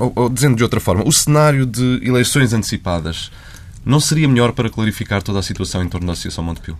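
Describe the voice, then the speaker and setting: A man talks at a very fast pace with a medium pitch. His intonation is lively. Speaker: journalist interviewer. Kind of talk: interview.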